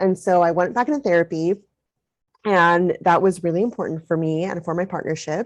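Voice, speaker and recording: An unremarkable speaking voice from a woman, fairly low in pitch, with ordinary pitch variation and a fairly quick pace. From US, Mexican-American family. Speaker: parent coach. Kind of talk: interview.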